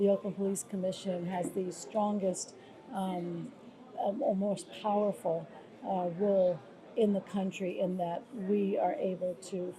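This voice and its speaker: Against noticeable background noise, a woman with an American accent talks at a fairly slow pace with fairly even intonation. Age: 60s. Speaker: former police commissioner and nonprofit leader. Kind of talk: interview. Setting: travel interview in Brazil.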